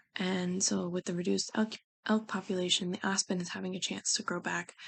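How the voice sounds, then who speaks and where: A woman with medium pitch speaks quietly. Her pace is fairly quick. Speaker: student. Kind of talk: class discussion video. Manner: hesitant, many fillers.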